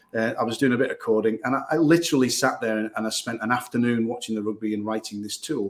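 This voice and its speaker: Very fast and with hardly any pauses, a man speaks at a medium pitch with ordinary pitch variation over noticeable background noise. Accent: Northern English. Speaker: digital marketing agency owner. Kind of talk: podcast interview.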